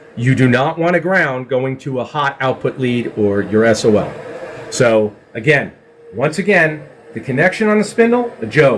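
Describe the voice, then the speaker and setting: A man with a medium-pitched voice and lively intonation, at a moderate pace, over noticeable background noise. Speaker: CNC systems technician. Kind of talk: tutorial.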